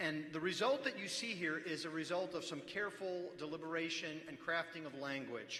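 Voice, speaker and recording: High male pitch amid noticeable background noise and audible room echo. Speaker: pastor speaking at church assembly. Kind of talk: formal debate speech. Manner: formal; raised, speaking up.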